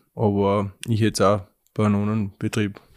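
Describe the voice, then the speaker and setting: A man speaks in a fairly low voice with monotone, flat intonation. The recording is very clean, with a silent background. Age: 20s. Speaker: young dairy farmer. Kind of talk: interview. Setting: farmhouse kitchen.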